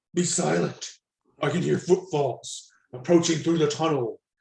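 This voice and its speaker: A man puts on a growling character voice at a fairly high pitch. His intonation stays fairly even, and his pace is moderate. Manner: hushed growl, urgent.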